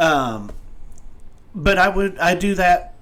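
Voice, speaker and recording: A man's fairly high voice with audible room echo. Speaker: live stream show host. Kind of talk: casual chat. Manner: halting, stumbles over words.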